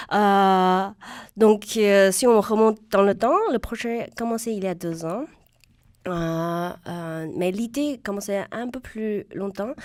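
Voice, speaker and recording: Speaking at a very slow pace, a woman with a medium-pitched voice shows ordinary pitch variation and big swings in loudness. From China. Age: young. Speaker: stand-up comedian. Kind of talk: radio interview answer. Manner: lively, passionate.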